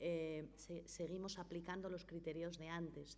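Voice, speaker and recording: A woman at a fairly low pitch and fairly slow pace, with audible room echo and noticeable background noise. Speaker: notary and foundation director. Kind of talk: conference talk. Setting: conference hall with audience and interpreter.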